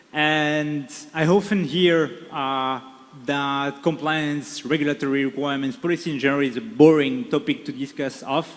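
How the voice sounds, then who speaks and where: Speaking with a French accent, a man uses a fairly high pitch with ordinary pitch variation. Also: moderate pace. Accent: French accent (joked as Czech). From France. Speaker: panel moderator. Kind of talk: panel discussion moderation. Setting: stage with audience. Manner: hesitant, many fillers.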